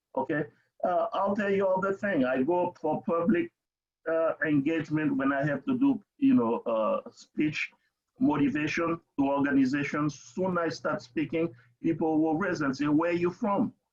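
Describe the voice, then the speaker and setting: At a moderate pace, a man with a Haitian accent speaks in a high pitch with lively intonation. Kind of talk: webinar discussion. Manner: halting.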